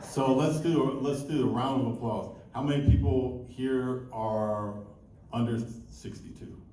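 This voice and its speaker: A man's voice at a fairly slow pace, with fairly even intonation, audible room echo and noticeable background noise. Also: medium pitch for a man. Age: 60s. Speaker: comedian. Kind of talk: stand-up. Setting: stage with audience.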